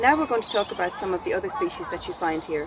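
Against noticeable background noise, a woman speaks with a dry sound that has no echo. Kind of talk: educational talk to camera. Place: forest.

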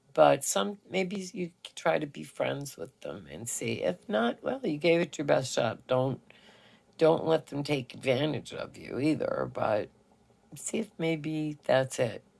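A woman speaks in a gentle, warm tone at a fairly slow pace. Her loudness swings widely. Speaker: radio DJ, voiceover actress, filmmaker and producer. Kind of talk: children's storytime host talking to camera. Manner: gentle, warm, slow, friendly. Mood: gentle, advising. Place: home room. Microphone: phone near.

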